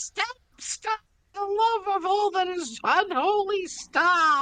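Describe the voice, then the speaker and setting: A put-on character voice, shouting at an extremely high pitch and a very slow pace. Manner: screaming, desperate.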